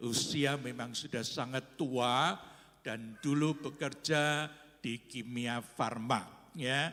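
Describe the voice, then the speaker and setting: Using a bright, sharp tone, a man speaks at a medium pitch. His pace is very slow and his intonation fairly even. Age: 70s. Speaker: pastor. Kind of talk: church announcements. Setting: church.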